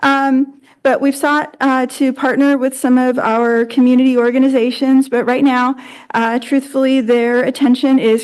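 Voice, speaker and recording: A woman speaks at a high pitch and a moderate pace. Her intonation is monotone and flat, and her loudness very even. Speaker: school district administrator. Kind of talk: board presentation. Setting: board meeting room. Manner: halting. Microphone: too quiet, not close to the mic.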